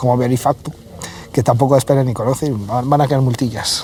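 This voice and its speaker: Noticeable background noise is present. The speaker talks at a fairly quick pace in a Galician accent. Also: man. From Galicia, Vigo. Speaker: cybersecurity manager and hacker. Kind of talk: casual interview chat.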